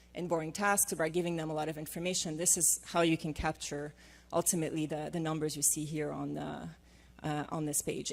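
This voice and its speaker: A woman with a non-native accent speaks at a fairly low pitch with vocal fry. The recording is very clean, with a silent background. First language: not English. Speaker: management consultant and former AI scientist. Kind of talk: conference panel presentation. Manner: hesitant with frequent fillers.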